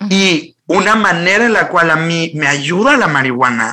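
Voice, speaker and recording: Bright and sharp in tone, a man speaks at a high pitch with lively intonation in a Mexican accent. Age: 30s. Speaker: life coach. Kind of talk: interview conversation. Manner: fast, animated.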